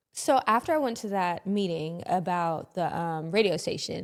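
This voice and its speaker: At a moderate pace, a woman with a slight Southern US accent speaks in a medium pitch on a very clean recording with a silent background. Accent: slight Southern twang, toned down. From US South (Louisiana and Dallas-Fort Worth, Texas). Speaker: radio personality and podcaster. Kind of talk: interview conversation. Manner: animated.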